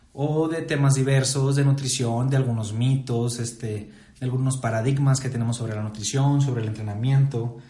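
Room echo is audible as a man speaks at a fairly quick pace. His medium-pitched voice is monotone and flat. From Mexico, Saltillo, Coahuila. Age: 20s. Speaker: nutritionist and podcast host. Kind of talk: casual chat.

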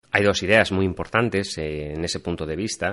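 Ordinary pitch variation marks the man's speech over a quiet background. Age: 30s. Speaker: podcast host. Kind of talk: reflective monologue. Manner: intimate, reflective.

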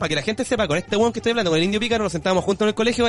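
A man speaks in a Chilean accent at a high pitch. Noticeable background noise is present. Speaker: podcast co-host. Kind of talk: casual chat. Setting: live stream.

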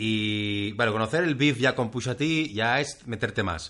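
Bright and sharp in tone, a man speaks at a medium pitch with ordinary pitch variation. The background is quiet. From Catalonia, Spain. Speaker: podcast co-host. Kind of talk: casual chat.

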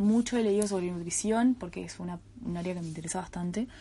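A woman talks fairly quickly in a Uruguayan accent. Her voice is fairly low, with a dark, mellow tone. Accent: Uruguayan Rioplatense Spanish. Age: 20s. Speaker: podcast host, student. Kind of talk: casual monologue. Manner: hesitant, many fillers and repetitions.

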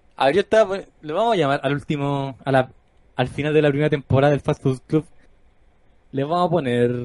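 Sounding dry and close with no echo, a man with a Chilean accent and a fairly high pitch speaks at a very fast pace, yet with long, frequent pauses and ordinary pitch variation. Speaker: gaming podcast host. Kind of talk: casual chat. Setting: live stream.

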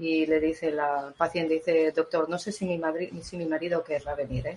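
Fairly low pitch from a woman, with noticeable background noise around her voice. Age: 50s. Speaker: therapist. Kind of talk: live-stream talk and Q&A.

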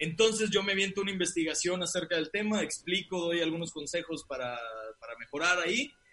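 A man talks at a fairly quick pace with a high pitch. Noticeable background noise runs underneath. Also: ordinary pitch variation. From Mexico, Monterrey. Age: 30s. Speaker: comedian and podcaster. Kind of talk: casual chat.

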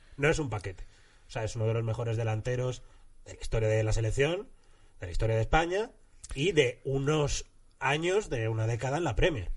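A somewhat breathy man with long, frequent pauses. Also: medium pitch for a man, lively intonation, fairly quick pace. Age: 30s. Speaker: comedian. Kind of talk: casual chat.

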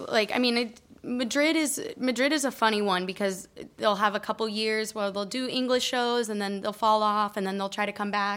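Here is a woman with an unremarkable speaking voice and a fairly high pitch. She keeps a moderate pace with ordinary pitch variation. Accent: General American. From Colorado, US. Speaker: comedian. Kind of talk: casual chat.

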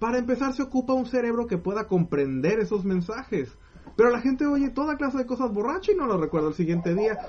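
Noticeable background noise sits under speech delivered at a very fast pace. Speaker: podcast co-host. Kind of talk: casual chat. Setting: live stream.

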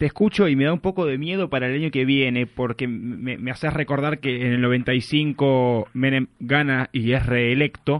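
A man's a normal speaking voice at medium pitch, fairly slow, with hardly any pauses. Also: ordinary pitch variation. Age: 20s. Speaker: radio host. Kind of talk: radio show.

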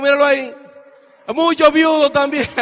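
An extremely high-pitched male voice amid noticeable background noise. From Dominican Republic. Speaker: business speaker. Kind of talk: motivational speech. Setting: stage with audience. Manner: animated.

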